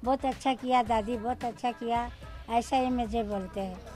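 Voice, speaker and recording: A woman talks while faint music can be heard behind her. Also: dry sound with no echo. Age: 80s+. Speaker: street performer. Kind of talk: interview; interview answer. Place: street. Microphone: handheld.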